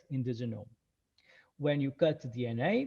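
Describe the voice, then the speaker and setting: A man speaks at a moderate pace with ordinary pitch variation. His tone is dark and mellow, somewhat breathy. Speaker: research scientist. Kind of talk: lecture. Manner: halting, many fillers.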